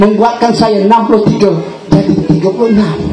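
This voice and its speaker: A man delivers his words at a fairly quick pace in an animated tone, amid noticeable background noise and audible room echo. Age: 60s. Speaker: politician. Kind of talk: political rally speech.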